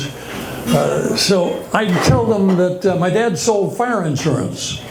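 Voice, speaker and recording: Against noticeable background noise, a man speaks at a very slow pace and a high pitch, with lively intonation and very even loudness. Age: 80s+. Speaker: stand-up comedian. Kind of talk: stand-up comedy set to a live audience. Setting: live comedy club.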